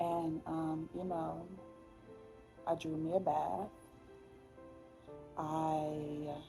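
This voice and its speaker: Music plays in the background as a woman speaks at a very slow pace with long, frequent pauses. Her very deep, low voice stays monotone and flat. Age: 20s. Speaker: content creator. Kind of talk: podcast, personal story told to camera. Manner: casual, hesitant, many fillers.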